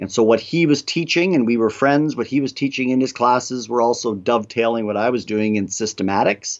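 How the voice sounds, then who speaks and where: With an Ontario accent, a man talks at a fairly quick pace with hardly any pauses, a medium pitch and ordinary pitch variation. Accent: Canadian English (Ontario). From Canada, Toronto area. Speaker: theology professor. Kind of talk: interview on theology.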